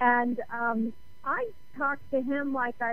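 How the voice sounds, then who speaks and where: A woman speaks at a high pitch and a fairly slow pace. Audible room echo surrounds her voice. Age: 60s. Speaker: author and radio host. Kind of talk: radio interview.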